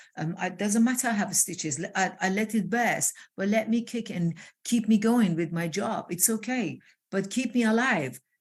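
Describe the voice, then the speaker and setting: Medium pitch, a somewhat breathy woman at a moderate pace with ordinary pitch variation. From Iran. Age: 60s. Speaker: transformational coach. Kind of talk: interview conversation. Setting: live video call. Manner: animated.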